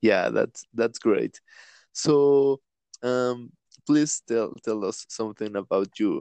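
With a Spanish accent, a man at medium pitch speaks very slowly with ordinary pitch variation, the sound dry and close with no echo over a quiet background. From Latin America. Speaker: podcast host. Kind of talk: casual chat. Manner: halting.

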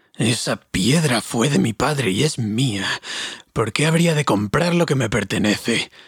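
A man's put-on character voice at a medium pitch and a moderate pace. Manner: angry.

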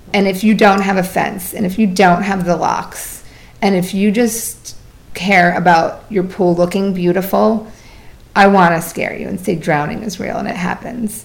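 Fairly even intonation at a moderate pace, amid audible room echo. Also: woman, medium pitch for a woman. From Vermont. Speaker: swim instructor and water fitness founder. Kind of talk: casual interview.

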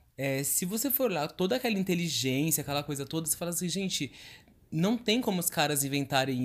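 On a very clean recording with a silent background, an animated man with a fairly high pitch talks at a moderate pace. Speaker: podcast co-host. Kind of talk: casual chat.

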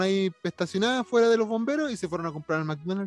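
Music plays in the background. Over it, a man talks at a high pitch with lively intonation. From Chile. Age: 30s. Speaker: podcast host. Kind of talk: casual chat.

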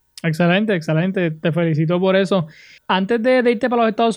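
A man with a Puerto Rican accent talks at a very fast pace. His pitch is high, with ordinary variation. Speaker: podcast and radio host. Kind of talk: interview. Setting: video call.

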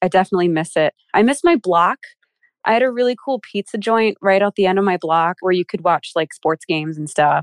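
A woman with an American accent and a plain, everyday voice speaks at medium pitch with ordinary pitch variation, in a very clean, dry, close recording with no echo and a silent background. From Philadelphia. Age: 20s. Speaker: actress. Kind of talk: casual chat.

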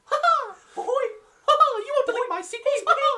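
Extremely high-pitched, moderately paced put-on character voice. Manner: laughing, playful.

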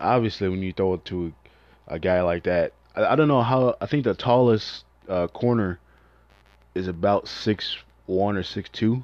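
In an American accent, a man speaks at a moderate pace and a fairly low pitch with ordinary pitch variation. He takes long, frequent pauses, and the background is quiet. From Chicago, South Side. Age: 20s. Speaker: student podcaster and sports commentator. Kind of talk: casual sports monologue.

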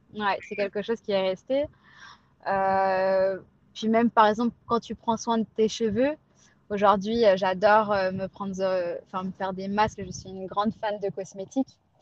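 A woman with a normal speaking voice and medium pitch talks at a fairly slow pace, the sound dry and close with no echo. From Pondicherry, India. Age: 30s. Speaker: cosmetics brand founder. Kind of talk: testimony.

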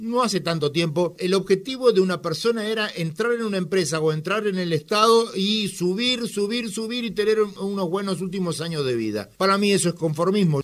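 A man talks at a fairly quick pace with hardly any pauses. His pitch is high, with ordinary pitch variation. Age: 60s. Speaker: radio host. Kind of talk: radio interview.

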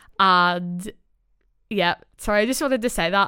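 Very clean and recorded against a silent background, a woman speaks at a moderate pace in a bright, sharp tone with ordinary pitch variation. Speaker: podcast host. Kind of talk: casual chat. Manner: nervous, chatty.

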